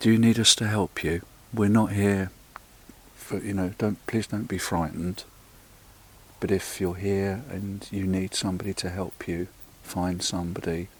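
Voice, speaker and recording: Soft-spoken and fairly low-pitched, a man talks at a moderate pace with fairly even intonation and long, frequent pauses. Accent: English. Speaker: paranormal investigator. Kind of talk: on-location investigation narration. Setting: outdoors in a churchyard at night. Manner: halting.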